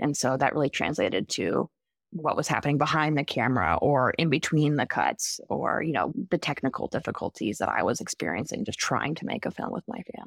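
Vocal fry runs through a fairly quick delivery with hardly any pauses and very wide pitch swings, on a very clean recording with a silent background. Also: woman, very deep, low pitch for a woman. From Vermont. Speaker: documentary filmmaker. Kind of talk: interview.

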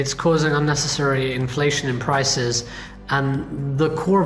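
A man speaks at a moderate speed in a fairly high register, his intonation fairly even, with audible room echo and noticeable noise in the background. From Indian heritage. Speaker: podcast host and venture capitalist. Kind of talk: casual interview.

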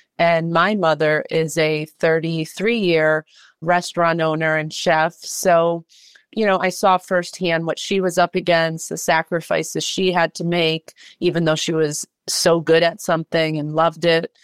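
In an American accent, a woman speaks in a monotone, flat way at a fairly low pitch and fairly slow pace, the sound dry and close with no echo on a very clean recording with a silent background. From Massachusetts (Worcester). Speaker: filmmaker and nonprofit founder. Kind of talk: interview.

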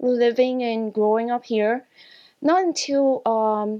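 A woman's very slow delivery. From Hong Kong. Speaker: customer service employee. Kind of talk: interview.

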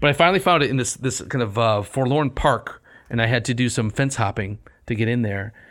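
A man with a normal speaking voice talks at a medium pitch and a fairly quick pace, with ordinary pitch variation. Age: 50s. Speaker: classics podcast co-host. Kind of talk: casual chat.

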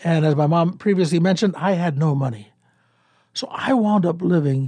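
A man's dark, mellow tone, lively intonation, and moderate pace. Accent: American. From US Midwest, Cleveland, Ohio. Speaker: former talk radio host. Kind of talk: interview. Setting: radio studio. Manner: halting, repeats words.

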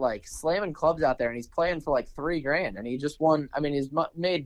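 In a normal speaking voice, a man with an American accent talks at a fairly high pitch with ordinary pitch variation. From Maryland, near Washington D.C. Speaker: professional golfer. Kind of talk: casual chat.

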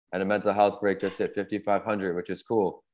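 A man's fairly low voice in monotone, flat intonation, over a quiet background. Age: 30s. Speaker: author and podcaster, brain injury survivor. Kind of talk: interview.

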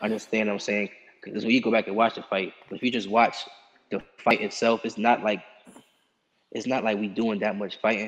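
A fairly low-pitched man with an American accent, flat and monotone at a fairly quick pace, broken by long, frequent pauses. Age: 20s. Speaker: amateur boxer. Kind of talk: interview.

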